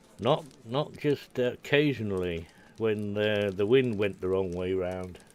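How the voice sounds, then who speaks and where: A man's fairly low voice with a Scottish accent, ordinary pitch variation and a fairly slow pace. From Scotland. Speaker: game streamer. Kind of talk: casual chat. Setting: live stream. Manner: halting.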